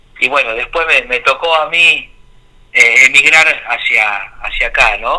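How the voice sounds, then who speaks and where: This man talks at a fairly slow pace, leaving long, frequent pauses. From Argentina, Tucumán. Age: 40s. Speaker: drummer. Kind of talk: interview. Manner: halting.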